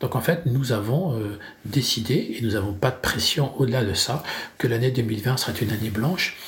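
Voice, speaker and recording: A man talks fairly slowly in a normal speaking voice with ordinary pitch variation. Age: 50s. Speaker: business owner. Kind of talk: interview.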